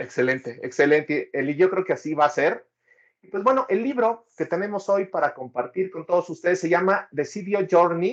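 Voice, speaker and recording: Lively intonation with a Mexican accent. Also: man, high pitch for a man, moderate pace, big swings in loudness. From Mexico. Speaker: data professional, book reviewer. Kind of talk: casual conversation, book review.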